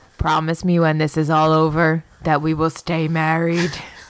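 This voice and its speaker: Putting on a character voice, a woman booms in a very deep, low pitch with monotone, flat intonation, very even loudness and a moderate pace. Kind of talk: comic overacting. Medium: actual play.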